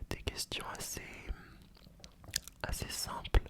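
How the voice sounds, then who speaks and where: Over noticeable background noise, a man whispers. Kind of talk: ASMR roleplay. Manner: whispered; soft-spoken, close to the mic.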